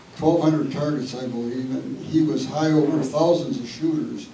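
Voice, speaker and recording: A man with a fairly high pitch at a fairly quick pace, noticeable background noise and audible room echo. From Wisconsin. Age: 80s+. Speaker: local family descendant. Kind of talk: public history talk.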